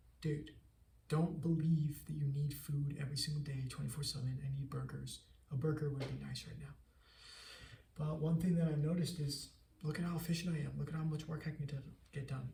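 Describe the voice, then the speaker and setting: With audible room echo, a man speaks in a fairly high, monotone voice at a fairly quick pace, broken by long, frequent pauses. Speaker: entrepreneur vlogger. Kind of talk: casual vlog monologue. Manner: fast, stuttering at times.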